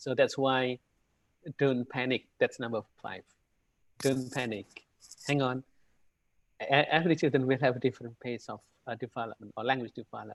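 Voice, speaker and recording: A man with an Indonesian accent, medium pitch, fairly even intonation and long, frequent pauses. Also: moderate pace, big swings in loudness, dry, close sound with no echo. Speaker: university lecturer, webinar presenter. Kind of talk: lecture. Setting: video call. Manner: hesitant, many fillers.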